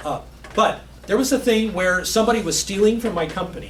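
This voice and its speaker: A man speaks at a fairly quick pace amid noticeable background noise. Audible room echo surrounds his voice. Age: 60s. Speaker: IT professional giving a guest talk. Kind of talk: Q&A talk to a class. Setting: classroom with students. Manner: halting, with many fillers and restarts.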